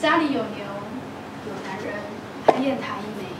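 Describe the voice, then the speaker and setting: Loud background noise surrounds a woman as she talks. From Taiwan. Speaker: poet. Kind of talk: poetry reading. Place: hall.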